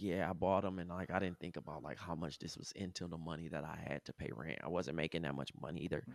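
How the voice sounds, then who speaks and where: Speaking at a very fast pace with hardly any pauses, a man uses a very deep, low voice with vocal fry and fairly even intonation. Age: 30s. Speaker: creative in advertising, former basketball player. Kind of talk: casual chat.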